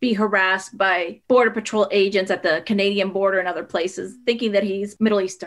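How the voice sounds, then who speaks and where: Her voice sits at a medium pitch with a bright, sharp tone. The woman has a Spanish accent, on a very clean recording with a silent background. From northwestern Pennsylvania, with early years in Puerto Rico. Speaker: author. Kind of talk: interview. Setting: podcast.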